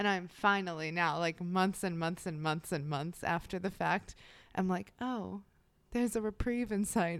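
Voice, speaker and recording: A woman speaks in a normal speaking voice at a fairly low pitch, with ordinary pitch variation at a moderate pace, on a very clean recording with a silent background. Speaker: true crime podcast co-host. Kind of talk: casual chat and true crime storytelling.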